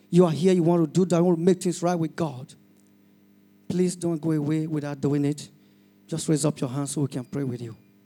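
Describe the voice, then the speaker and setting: Music plays behind a man with a fairly high pitch and fairly even intonation. He leaves long, frequent pauses. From Nigeria. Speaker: pastor. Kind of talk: altar-call sermon, urgent appeal to the congregation to raise hands and surrender. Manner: fervent and pleading, with filler 'you know'.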